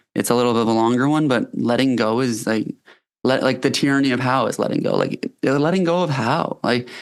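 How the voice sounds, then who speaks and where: A man with a Canadian accent talks at a fairly quick pace and a medium pitch, his loudness very even and his pitch variation ordinary. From Canada. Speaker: company founder and health coach. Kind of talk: podcast interview. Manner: hesitant, many fillers.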